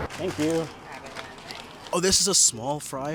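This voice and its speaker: Over noticeable background noise, a man with a fairly high pitch talks at a moderate pace in an animated tone. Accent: American. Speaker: food vlogger. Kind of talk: vlog narration. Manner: casual, animated; whispering.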